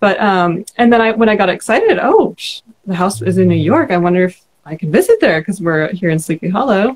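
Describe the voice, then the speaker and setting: A woman's somewhat breathy, medium-pitched voice at a very fast pace with ordinary pitch variation. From California. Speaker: book club host and vlogger. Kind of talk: casual live-stream interview. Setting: live stream video call.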